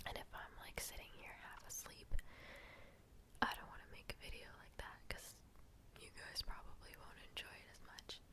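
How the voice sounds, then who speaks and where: Whispering at a moderate pace, a woman leaves long, frequent pauses, and her loudness swings widely. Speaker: ASMR creator, student with an internship. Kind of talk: ASMR ramble, casual chat to camera. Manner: soft-spoken, whispering.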